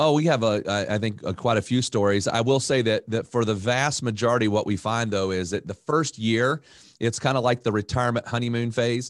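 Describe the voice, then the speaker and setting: With hardly any pauses, a man talks in a plain, everyday voice at a fairly quick pace, with very even loudness and ordinary pitch variation against a quiet background. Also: medium pitch for a man. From North Carolina (Raleigh). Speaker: financial advisor. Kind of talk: casual interview.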